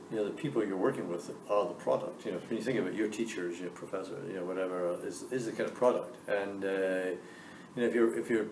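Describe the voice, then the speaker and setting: Over audible room echo, a man talks very fast in a fairly low pitch. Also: ordinary pitch variation. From Scotland. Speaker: business school dean. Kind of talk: Q&A interview with students.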